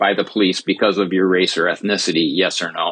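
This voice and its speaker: Fairly quickly, a man speaks with an American accent. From Minnesota. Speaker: sociologist and research director. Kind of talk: panel discussion. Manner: halting.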